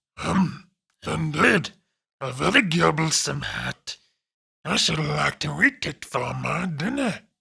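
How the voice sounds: A man puts on a character voice that is raspy and fairly high in pitch, speaking at a fairly slow pace with long, frequent pauses.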